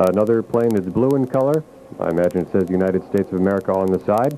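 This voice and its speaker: A man talks at a very fast pace with ordinary pitch variation. There is noticeable background noise. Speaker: radio field reporter at the airport. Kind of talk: live radio news coverage.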